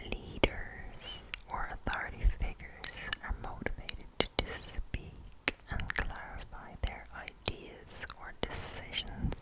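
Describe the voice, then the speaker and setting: A woman whispers at a very slow pace. Noticeable background noise runs underneath. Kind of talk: ASMR horoscope reading. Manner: whispered, close-up, crisp.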